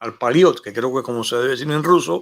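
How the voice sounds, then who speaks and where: An unremarkable speaking voice with lively intonation comes through on a very clean recording with a silent background. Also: man. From Cuba. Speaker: YouTube show host, former radio host. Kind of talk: casual monologue to camera. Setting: home studio.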